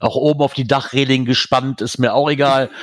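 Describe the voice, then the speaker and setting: On a very clean recording with a silent background, a man with a normal speaking voice talks at a medium pitch and a fairly quick pace. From Germany, near the Eifel. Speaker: podcast host. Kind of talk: casual chat.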